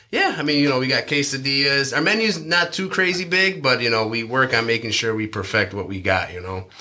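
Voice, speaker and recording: Through noticeable background noise, a man of medium pitch talks at a fairly quick pace with hardly any pauses and very wide pitch swings. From Chicago-born, raised in western New York. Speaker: restaurant owner. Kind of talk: casual interview.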